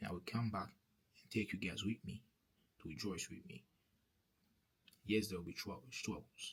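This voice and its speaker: The voice is somewhat breathy, with ordinary pitch variation. It keeps a moderate pace. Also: man. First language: French. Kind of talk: testimony. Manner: halting, with many repetitions; earnest preaching.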